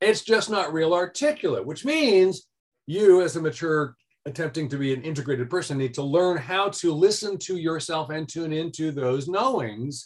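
At a moderate pace and with ordinary pitch variation, a man speaks fairly high in an ordinary speaking voice. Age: 60s. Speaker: author and life design educator. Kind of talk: interview conversation.

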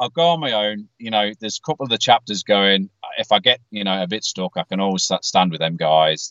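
A fairly quick pace, lively intonation and a British accent. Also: man, fairly low pitch for a man. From UK. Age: 40s. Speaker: metal fan, podcast patron. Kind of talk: casual chat. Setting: in a car.

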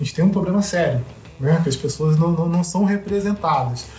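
A man talks at a high pitch. His pitch varies an ordinary amount. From Brazil, Rio de Janeiro (West Zone). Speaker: sociologist and mountaineer. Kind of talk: casual interview.

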